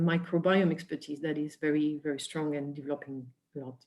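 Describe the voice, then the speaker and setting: In a French accent, a woman talks at a moderate pace with fairly even intonation. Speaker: biotech industry presenter. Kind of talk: webinar presentation.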